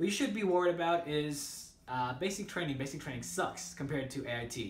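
Audible room echo surrounds a man as he talks. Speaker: army trainee and video creator. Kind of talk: casual vlog advice. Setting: barracks room, recorded by roommate. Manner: rambling, casual. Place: home room. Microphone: phone near.

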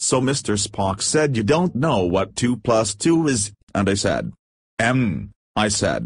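Using a raspy, put-on character voice, a man speaks fairly low and very slowly, with long, frequent pauses. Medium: cartoon. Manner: exasperated.

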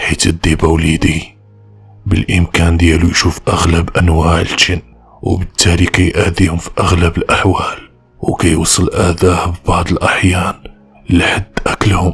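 A put-on character voice proceeds at a fairly slow pace with faint music in the background. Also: man, very deep, low pitch for a man. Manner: sly, calm.

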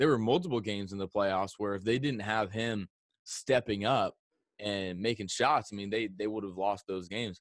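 A man with a fairly low pitch speaks in a plain, everyday voice. The background is quiet and the sound is dry with no echo. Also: ordinary pitch variation, moderate pace. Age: 20s. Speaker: sports YouTuber. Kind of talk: casual chat. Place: home room. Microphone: studio mic.

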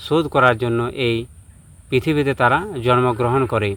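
This man has a normal speaking voice at medium pitch. His pitch variation is ordinary. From West Bengal, Bankura district. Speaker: astrologer. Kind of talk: astrology talk to camera.

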